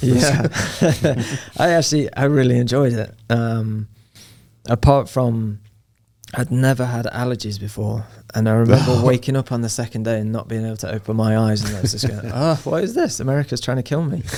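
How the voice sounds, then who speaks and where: A man with an English accent, a dark, mellow tone at medium pitch, a fairly quick pace and ordinary pitch variation. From Nottingham, England. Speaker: soccer coach. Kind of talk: podcast interview answer.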